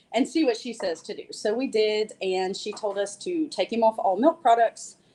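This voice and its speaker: A woman with an American accent, fairly high in pitch, with a dark, mellow tone, lively intonation and big swings in loudness. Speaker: herbalist. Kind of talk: presentation. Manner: fast.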